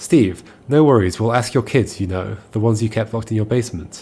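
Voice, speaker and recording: Somewhat breathy and dark, mellow in tone, a man's fairly low voice moves at a moderate pace with ordinary pitch variation. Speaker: video game streamer. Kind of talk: casual chat while reading game dialogue aloud.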